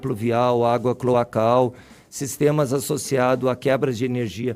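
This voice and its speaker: At a fairly slow pace, a man speaks with a medium pitch. He keeps his intonation fairly even. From Rio Grande do Sul, southern Brazil. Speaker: university professor, soil scientist. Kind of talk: radio interview. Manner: hesitant, repeats words.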